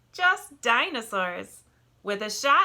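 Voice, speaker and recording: In a put-on character voice, a female-sounding speaker uses a fairly high pitch with very wide pitch swings, in a very clean recording with a silent background. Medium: read story.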